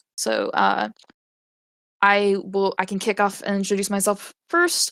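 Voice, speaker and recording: With an American accent and a bright, sharp tone, a woman speaks at a fairly slow pace. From US South, Western North Carolina (Appalachia). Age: 20s. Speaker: convention panelist. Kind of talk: live convention panel discussion. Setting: online live stage event with chat. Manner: casual, hesitant with fillers.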